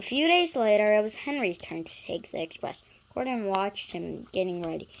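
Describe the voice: A woman's medium pitch with big pitch swings. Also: moderate pace.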